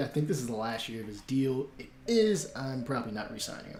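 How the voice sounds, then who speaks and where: With an American accent, the speaker moves along at a fairly quick pace. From New York. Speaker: gaming streamer. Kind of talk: casual live stream commentary. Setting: live stream with game and music. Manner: fast.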